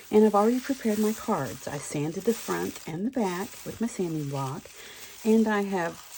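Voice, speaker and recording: Noticeable background noise sits behind a woman who talks at a moderate pace and medium pitch with lively intonation. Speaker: crafting video creator. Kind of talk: crafting tutorial. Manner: animated.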